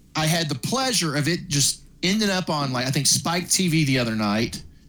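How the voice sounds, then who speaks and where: Lively intonation carries speech at a moderate pace over noticeable background noise. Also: man. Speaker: podcast co-host. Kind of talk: casual chat.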